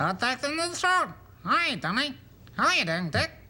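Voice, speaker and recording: A man's put-on character voice, raised and projected, at an extremely high pitch with very wide pitch swings and a moderate pace. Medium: tutorial demo.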